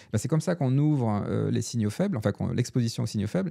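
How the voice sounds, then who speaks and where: With lively intonation, a man speaks in a dark, mellow tone on a very clean recording with a silent background. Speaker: researcher and author on robustness. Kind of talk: interview conversation. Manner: fast; hesitant, repeats words.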